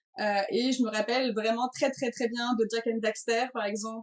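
A high-pitched woman with a strong Breton accent, speaking at a fairly slow pace. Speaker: video game designer. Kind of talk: interview.

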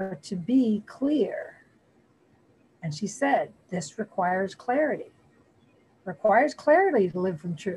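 A somewhat breathy woman with an American accent speaks at a fairly slow pace, her pitch swinging very widely and her loudness swinging a lot, with long, frequent pauses. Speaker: spiritual community member. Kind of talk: group discussion sharing. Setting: video call.

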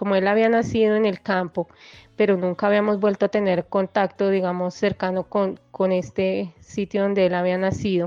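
Over music in the background, the speaker talks in a Bogotá accent at a moderate pace, with monotone, flat intonation and very even loudness. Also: woman, medium pitch for a woman. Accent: Bogotá Colombian Spanish. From Colombia, Bogotá. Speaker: guest sharing life story. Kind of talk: testimony. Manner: halting.

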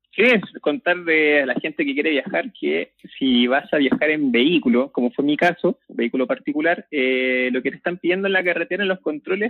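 A man speaks with a Chilean accent. His intonation is lively. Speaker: podcast co-host. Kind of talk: casual chat. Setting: phone call. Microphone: phone line, breathing audible.

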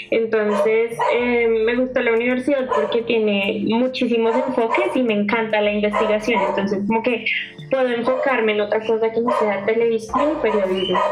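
Over background music and audible room echo, a woman speaks at a fairly high pitch and a moderate pace, with fairly even intonation and very even loudness. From Colombia, Bogotá. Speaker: university student and radio presenter. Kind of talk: casual interview.

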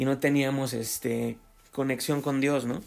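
The speaker has a Mexican accent and a moderate pace. Intonation stays fairly even. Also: man. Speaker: podcaster. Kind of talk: casual monologue. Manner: halting.

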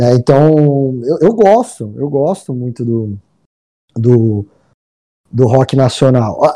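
At a very slow pace and with long, frequent pauses, a man speaks in a dark, mellow tone with ordinary pitch variation. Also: medium pitch for a man. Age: 30s. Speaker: stand-up comedian. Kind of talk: casual chat.

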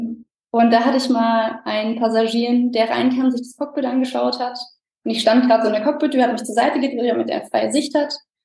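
A woman's high-pitched voice with a dark, mellow tone, monotone, flat intonation and a fairly quick pace. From Germany, near Frankfurt. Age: 20s. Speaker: airline co-pilot. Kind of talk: interview.

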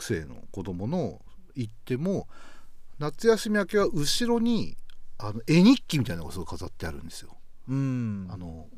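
Audible room echo surrounds a man speaking at a moderate pace and medium pitch with very wide pitch swings. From Hokkaido, Ishikari. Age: 40s. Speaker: broadcast writer. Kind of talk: casual chat.

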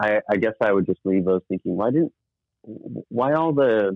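This is a man with an American accent. He talks at a moderate pace. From US Southwest (northern New Mexico). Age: 40s. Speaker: nonprofit leader. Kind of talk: interview.

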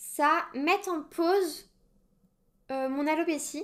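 The recording is very clean, and the background is silent. The voice belongs to a woman. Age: 20s. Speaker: podcast host. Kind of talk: solo personal monologue.

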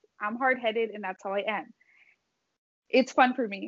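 The speaker uses an ordinary speaking voice with an American accent. Pitch variation is ordinary. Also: woman. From Southern California. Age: 20s. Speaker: podcast co-host, college student. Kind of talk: casual chat.

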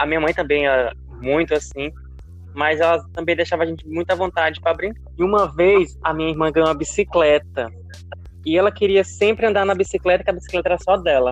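Background music plays throughout. Over it, a man speaks very fast. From Brazil, Piauí (Santa Cruz dos Milagres). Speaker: journalist, podcast host. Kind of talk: casual chat.

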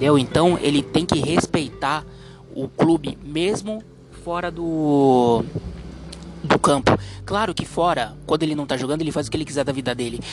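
Long, frequent pauses break up a man's speech at a moderate pace. His pitch is fairly high with ordinary variation, over noticeable background noise. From Brazil, Santos (São Paulo coast). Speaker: podcast host. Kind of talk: opinion monologue. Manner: halting, many fillers; animated.

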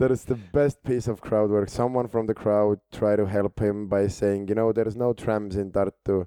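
A man speaks at a moderate pace in a fairly low voice with a dark, mellow tone, monotone and flat, with hardly any pauses. His loudness stays very even, and the sound is dry and close with no echo. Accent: Estonian. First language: Estonian. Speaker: stand-up comedian. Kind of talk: casual chat. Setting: studio. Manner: halting.

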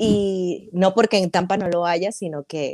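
In a Maracaibo Venezuelan accent, a woman with a fairly low pitch and a dark, mellow tone speaks at a very slow pace, the sound dry and close with no echo. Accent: Maracaibo (maracucho) Venezuelan. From Venezuela, Maracaibo (Zulia). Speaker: hair stylist, entrepreneur. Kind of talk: casual interview.

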